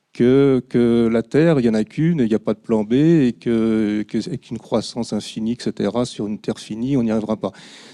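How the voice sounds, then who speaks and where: In a quiet background, a man's medium-pitched voice has a dark, mellow tone and a dry, close sound with no echo. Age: 60s. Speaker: audience member asking a question. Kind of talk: audience question at public talk. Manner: halting.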